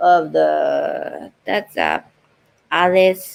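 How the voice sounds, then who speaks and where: A woman speaks in a Japanese accent. Her pace is very slow. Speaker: voice-over artist. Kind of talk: casual talk on a live stream.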